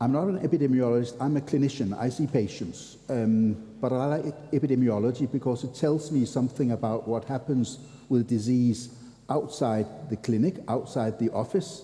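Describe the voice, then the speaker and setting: A man's dark, mellow, somewhat breathy tone with ordinary pitch variation. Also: medium pitch for a man, moderate pace. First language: not English. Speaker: physician lecturer. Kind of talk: lecture.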